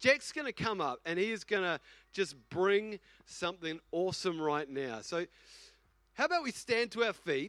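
A speaker with a New Zealand accent talks at a moderate pace with very wide pitch swings, in a dry, close sound with no echo and a very clean recording over a silent background. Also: man. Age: 40s. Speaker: senior pastor. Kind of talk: casual, conversational Sunday sermon. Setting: church service. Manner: animated, repetitive, filler-laden.

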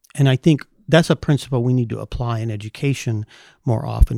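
With an American accent, a man talks at a fairly quick pace in a dark, mellow tone with ordinary pitch variation. The sound is dry and close with no echo, very clean against a silent background. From California. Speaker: teacher. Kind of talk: casual chat.

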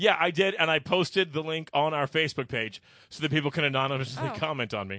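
A man's fairly high voice, lively in intonation and very fast in pace. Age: 30s. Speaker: podcast host. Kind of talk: casual chat. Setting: studio.

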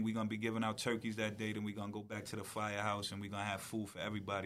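Talking very fast, a man uses a fairly low pitch and an American accent. The room echo is audible. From Long Island, New York. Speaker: community organizer and clothing store founder. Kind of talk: podcast interview.

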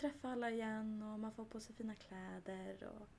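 A woman with a fairly high pitch speaks in a monotone, flat way at a moderate pace over noticeable background noise. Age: 20s. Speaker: nursing student. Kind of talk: casual chat.

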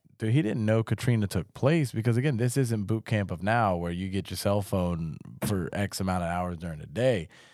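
An unremarkable speaking voice from a man with an American accent, fairly low in pitch with ordinary variation, at a fairly quick pace with hardly any pauses, on a very clean recording with a silent background. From South Carolina (Charleston). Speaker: army veteran. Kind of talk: casual chat. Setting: studio.

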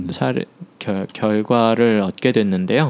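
A man is speaking. His pace is very slow. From Seoul, South Korea. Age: 30s. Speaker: choreographer. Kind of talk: life-story interview. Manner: halting.

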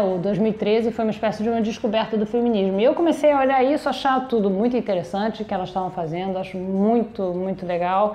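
Noticeable background noise sits behind a woman with a fairly high pitch and ordinary pitch variation. She talks at a fairly quick pace with hardly any pauses. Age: 50s. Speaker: podcast host and simultaneous interpreter. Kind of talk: interview. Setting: production company office.

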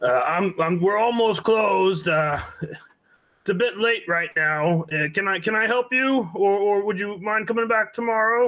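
A man puts on a gruff character voice pitched high. He goes at a fairly slow pace with ordinary pitch variation.

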